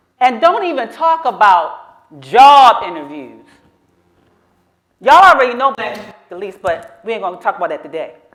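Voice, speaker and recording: A woman's high voice at a moderate pace, with an animated tone, very wide pitch swings and big swings in loudness. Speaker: storyteller. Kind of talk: live storytelling. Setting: stage with audience.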